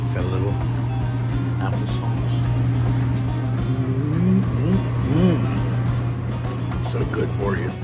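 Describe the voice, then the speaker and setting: A man speaking with music in the background. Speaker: camping vlogger. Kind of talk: casual vlog chat. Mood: playful, joking. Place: home room. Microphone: phone near.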